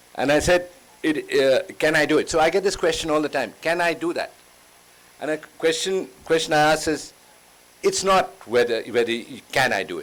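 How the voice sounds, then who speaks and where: Noticeable background noise runs through the clip. The man speaking has a fairly high pitch. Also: ordinary pitch variation, moderate pace. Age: 60s. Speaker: travel writer. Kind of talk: panel conversation.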